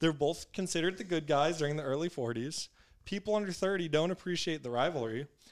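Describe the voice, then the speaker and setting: The man speaks very fast, at a fairly high pitch with ordinary pitch variation. The recording is very clean, with a silent background. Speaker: sports podcast co-host. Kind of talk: casual sports chat. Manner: joking.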